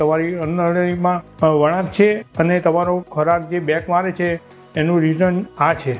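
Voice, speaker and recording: A man's high, monotone, flat voice over music in the background. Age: 60s. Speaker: surgery patient. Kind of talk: patient testimonial.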